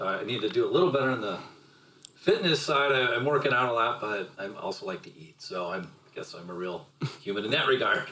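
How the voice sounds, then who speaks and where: Against noticeable background noise, a man at medium pitch talks at a fairly quick pace with very wide pitch swings and big swings in loudness. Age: 50s. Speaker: podcast guest, host's father. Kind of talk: casual chat.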